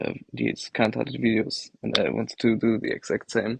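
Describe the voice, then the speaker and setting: The sound is dry and close with no echo as a man talks with a slight German accent. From Germany. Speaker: livestream participant. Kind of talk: casual chat. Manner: hesitant.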